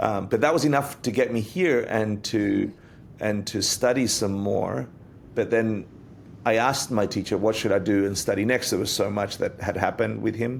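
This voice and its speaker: Vocal fry runs through this man's fairly low-pitched voice. He keeps a moderate pace with ordinary pitch variation. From Australia. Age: 60s. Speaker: Buddhist meditation teacher. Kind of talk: interview conversation.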